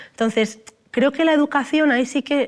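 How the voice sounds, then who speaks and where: In a very clean recording with a silent background, a woman talks at a fairly quick pace with ordinary pitch variation. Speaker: computer science researcher, AI expert speaker. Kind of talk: talk with audience Q&A.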